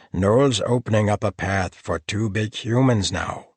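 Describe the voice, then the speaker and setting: A man's growling, rumbling put-on character voice, fairly low in pitch, at a moderate pace. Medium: read story. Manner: grumbling.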